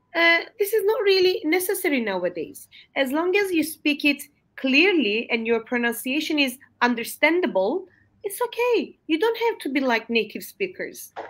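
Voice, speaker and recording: A woman with a Turkish accent speaks at a moderate pace, her extremely high voice swinging very widely in pitch. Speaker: English language teacher. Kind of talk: webinar discussion. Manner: halting, many fillers.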